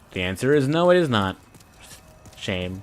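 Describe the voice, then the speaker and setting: Over music in the background, the voice moves at a very slow pace with very wide pitch swings. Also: man. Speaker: gaming streamer. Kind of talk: live game commentary. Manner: off-the-cuff rambling.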